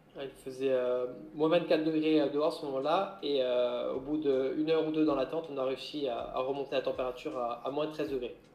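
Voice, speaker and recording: A man speaks at a moderate pace with a fairly high pitch. His intonation is fairly even, and there is noticeable background noise. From Corsica. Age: 30s. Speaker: maritime gendarme and adventurer. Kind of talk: interview.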